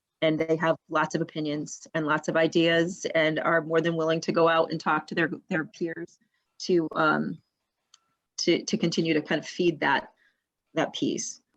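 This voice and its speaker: Her intonation stays monotone and flat. The woman's pitch sits fairly low. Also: moderate pace. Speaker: school administrator presenting budget. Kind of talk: budget presentation at board meeting. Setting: live-streamed school board meeting. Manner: halting, many fillers and restarts.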